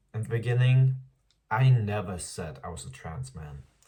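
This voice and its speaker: Somewhat breathy and dark, mellow in tone, a man's voice comes through with audible room echo. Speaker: vlogger. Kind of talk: casual vlog monologue. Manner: casual, filler-heavy.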